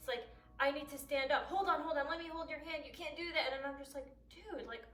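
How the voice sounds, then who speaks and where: High-pitched, animated woman's voice with audible room echo. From US, Chaldean-Iraqi family. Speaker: YouTuber, blind college student. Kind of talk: personal vlog monologue.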